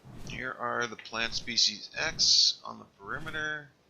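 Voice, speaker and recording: A man talks fairly slowly. Background noise is noticeable throughout. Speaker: gaming video creator. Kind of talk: gameplay commentary.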